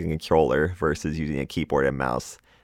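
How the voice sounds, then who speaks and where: Very deep and low in pitch with vocal fry, a man's voice comes through dry and close with no echo on a very clean recording with a silent background. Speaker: gaming podcast host. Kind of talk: solo podcast monologue.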